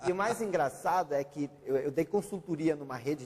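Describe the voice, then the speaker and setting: This man talks at a moderate pace. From Brazil, German-speaking family. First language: German (speaking Portuguese). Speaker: author and consultant. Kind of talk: interview.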